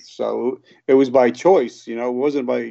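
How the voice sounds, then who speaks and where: In a New Jersey accent, a man with a dark, mellow tone speaks at medium pitch with fairly even intonation. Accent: New Jersey American. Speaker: recovered addict and business owner. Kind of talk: interview, personal testimony. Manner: halting, many fillers.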